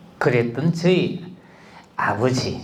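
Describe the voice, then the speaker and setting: Audible room echo surrounds this man's voice. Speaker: speech instructor. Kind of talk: personal storytelling talk.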